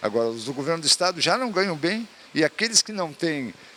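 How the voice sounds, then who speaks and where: A man's bright, sharp tone with lively intonation at a moderate pace. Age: 70s. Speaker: sports council president, physical education professional. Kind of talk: interview. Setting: event venue.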